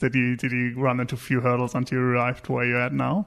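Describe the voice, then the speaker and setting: A man with a German accent at a medium pitch and a very fast pace. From Germany. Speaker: podcast host. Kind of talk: interview.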